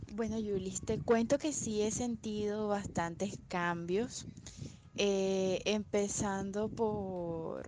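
At a very slow pace, a woman with a medium pitch and a dark, mellow tone speaks with fairly even intonation. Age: 20s. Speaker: interviewee, law firm employee. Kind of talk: interview.

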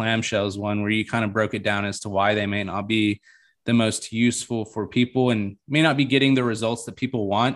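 This is a normal speaking voice moving at a fairly quick pace. Its pitch varies in an ordinary way. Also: man. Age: 20s. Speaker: podcast host. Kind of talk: casual chat.

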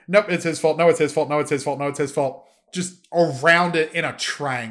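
This man talks in an animated tone at a fairly quick pace, his pitch fairly high. The recording is very clean, with a silent background. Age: 20s. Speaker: solo sports and esports podcast host. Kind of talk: solo podcast monologue.

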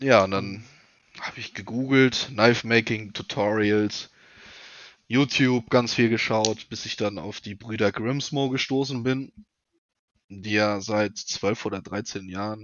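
Very slow speech from a man with a fairly low pitch, big swings in loudness and long, frequent pauses. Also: fairly even intonation. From North Rhine-Westphalia, near Siegen. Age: 30s. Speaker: knife maker. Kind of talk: casual interview.

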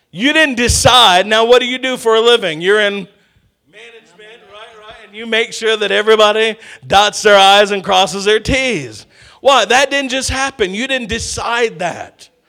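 Bright and sharp in tone, a man speaks in a high, raised, projected voice at a moderate pace, sounding animated with big swings in loudness. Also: ordinary pitch variation. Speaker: pastor. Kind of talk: sermon, preacher in full flow with call-and-response. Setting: church with congregation. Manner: animated, exhorting the congregation with 'come on, somebody'; punchy, repetitive, humorous asides.

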